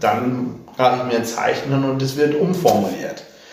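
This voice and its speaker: Noticeable background noise and audible room echo surround the man's speech. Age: 30s. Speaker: politician. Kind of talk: interview.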